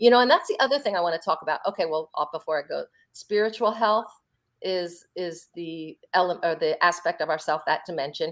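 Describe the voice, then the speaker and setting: A woman with an American accent talks at a fairly quick pace in an ordinary speaking voice, her fairly low pitch showing ordinary variation, on a very clean recording with a silent background. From US Northeast, Philadelphia. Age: 50s. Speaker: holistic health practitioner. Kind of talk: interview on a live stream.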